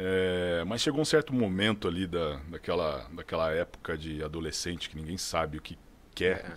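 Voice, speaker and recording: Speaking with a São Paulo interior accent, this man has a very deep, low pitch. He talks at a fairly quick pace with lively intonation. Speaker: sales director. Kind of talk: casual chat.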